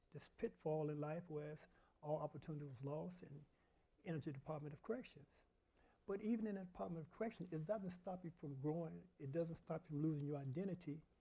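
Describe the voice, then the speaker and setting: A man with an American accent, very fast, fairly high-pitched and dark and mellow in tone, with big swings in loudness and ordinary pitch variation. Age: 70s. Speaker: formerly incarcerated prison reform advocate. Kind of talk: panel discussion. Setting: church event with live audience.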